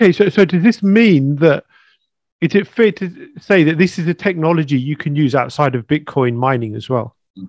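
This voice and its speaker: With a normal speaking voice, a man talks at a moderate pace and fairly high pitch, the sound dry and close with no echo. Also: lively intonation. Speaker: podcast host. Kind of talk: casual interview.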